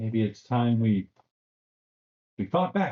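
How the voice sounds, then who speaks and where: A man puts on a squeaky character voice at a medium pitch. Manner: courageous but wobbly.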